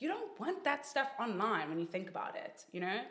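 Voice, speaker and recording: Over noticeable background noise, a woman talks at a fairly quick pace in an animated tone with very wide pitch swings. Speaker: social media influencer. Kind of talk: casual chat.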